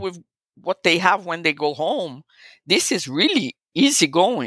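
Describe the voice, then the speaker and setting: With a Portuguese accent, a woman speaks in an animated tone at a moderate pace. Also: dry, close sound with no echo. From Brazil. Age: 60s. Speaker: photographer. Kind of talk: interview conversation. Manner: animated, laughs often.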